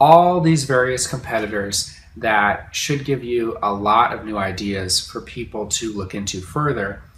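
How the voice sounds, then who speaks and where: Speaking at a very slow pace, a man with a medium pitch uses lively intonation amid audible room echo. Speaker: online course instructor. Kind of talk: tutorial. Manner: casual, conversational.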